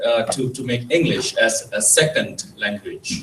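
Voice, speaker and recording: A man speaks in a fairly high voice with an Indonesian accent. There is noticeable background noise. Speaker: presenter at cultural event. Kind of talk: lecture. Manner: halting.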